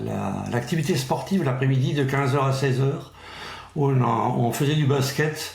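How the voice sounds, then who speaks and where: The speech moves at a fairly slow pace. Noticeable background noise and audible room echo fill the recording. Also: man. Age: 60s. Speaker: Paralympic athlete. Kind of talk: interview.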